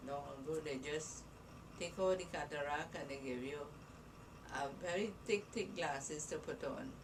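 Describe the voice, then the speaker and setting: Amid noticeable background noise and audible room echo, a woman with a very deep, low pitch speaks at a moderate pace with ordinary pitch variation and long, frequent pauses. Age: 80s+. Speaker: grandmother being interviewed by grandchild. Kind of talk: casual family interview.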